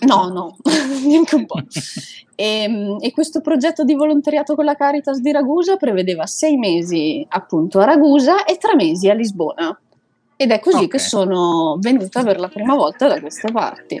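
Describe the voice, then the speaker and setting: A woman's voice has a dark, mellow tone and a high pitch. Her pitch swings very widely. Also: moderate pace. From Italy. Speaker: expatriate volunteer worker. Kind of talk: casual interview.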